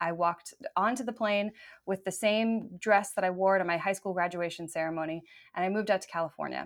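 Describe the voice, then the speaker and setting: In a very clean recording with a silent background, a woman with an American accent talks at a very fast pace, her medium-pitched voice keeping fairly even intonation. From US, small-town Virginia. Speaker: TV presenter and voiceover artist. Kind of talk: casual interview.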